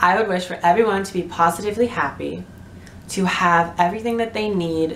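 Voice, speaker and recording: A woman speaks with fairly low pitch and ordinary pitch variation. Audible room echo is present. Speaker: vlogger. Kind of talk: casual chat. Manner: animated.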